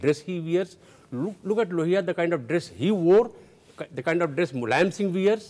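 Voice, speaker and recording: At a moderate pace, a man with an Indian accent speaks in a high voice. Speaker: social commentator. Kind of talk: televised panel debate. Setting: studio. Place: studio. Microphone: lapel.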